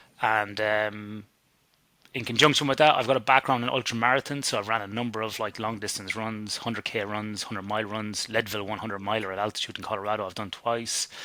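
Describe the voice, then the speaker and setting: A man with an Irish accent talks at a very fast pace. His tone is bright and sharp, his pitch fairly low. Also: fairly even intonation. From Ireland. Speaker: sleep scientist. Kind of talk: interview.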